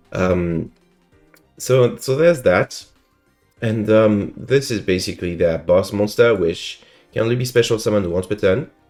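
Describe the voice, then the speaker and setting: Moderate-paced speech with long, frequent pauses and music in the background. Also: man, fairly low pitch for a man, ordinary pitch variation. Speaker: card game content creator. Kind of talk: casual commentary to camera. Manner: subdued, not loud.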